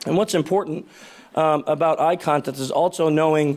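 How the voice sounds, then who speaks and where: A fairly high-pitched man with an American accent at a fairly quick pace, in a very clean recording with a silent background. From New York area, US. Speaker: conference speaker, security consultant. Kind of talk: conference talk. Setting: stage with audience. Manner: fast; animated.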